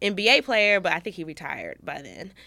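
A woman's tone comes across bright and sharp on a very clean recording with a silent background. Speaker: podcast co-host. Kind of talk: casual chat. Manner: animated, jokey.

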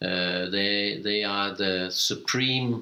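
Ordinary pitch variation in a fairly low male voice. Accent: Danish. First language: Danish. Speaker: cooperative chair. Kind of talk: interview. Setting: office.

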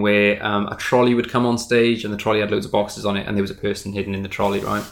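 Very fast delivery in a Welsh accent, monotone and flat, with hardly any pauses. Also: man. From Wales, small town. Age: 30s. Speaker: magician. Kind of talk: casual interview. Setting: in person.

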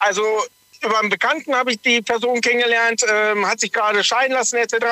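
A man speaks in a raised, projected voice at an extremely high pitch, with fairly even intonation and a fairly quick pace. The sound is dry and close, with no echo. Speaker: truck driver. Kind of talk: radio call-in.

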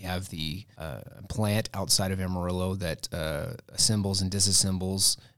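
A man speaks with an American accent. His pitch is very deep and low, and his intonation is monotone and flat. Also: very clean recording, silent background. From Texas Panhandle, Muleshoe. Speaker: government professor. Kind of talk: casual chat. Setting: studio.

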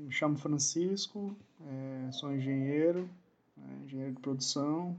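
A man with a fairly high voice and ordinary pitch variation speaks at a fairly slow pace. His speech has long, frequent pauses. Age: 40s. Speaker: production engineer. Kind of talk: casual chat. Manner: halting.

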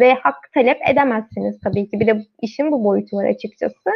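A woman speaks at a moderate pace in a fairly high pitch. She has a plain, everyday voice. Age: 20s. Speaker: magazine team member, live stream moderator. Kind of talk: live stream panel discussion.

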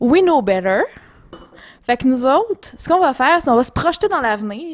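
A woman with a Quebec accent speaks at a moderate pace, her high voice swinging very widely in pitch. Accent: Québécois French. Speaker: podcast co-host. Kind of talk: casual chat. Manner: animated.

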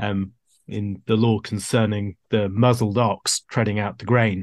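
A man speaks in a plain, everyday voice, fairly low and fairly slow, with fairly even intonation. The sound is dry and close with no echo, over a quiet background. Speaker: podcast panelist. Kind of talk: theological discussion.

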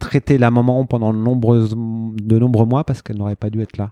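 Against a quiet background, a man's dark, mellow voice sits at a medium pitch, with a dry, close sound and no echo. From France, Burgundy, Marseille and Saint-Étienne. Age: 40s. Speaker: event organiser. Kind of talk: interview. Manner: halting.

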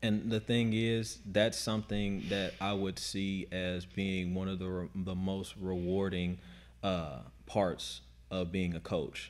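A man's very deep, low voice at a very slow pace, with ordinary pitch variation. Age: 30s. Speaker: CrossFit coach. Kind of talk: casual chat.

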